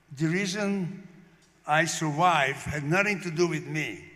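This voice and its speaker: With audible room echo, a man speaks at a fairly slow pace with ordinary pitch variation. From Slovakia, Bardejov. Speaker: Holocaust survivor. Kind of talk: testimony.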